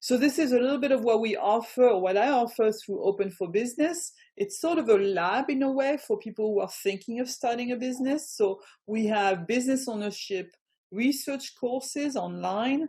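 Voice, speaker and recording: At a moderate pace, a woman with a French accent speaks at a high pitch, her tone dark and mellow and her intonation lively. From France. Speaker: business coach. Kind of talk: online presentation. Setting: video call.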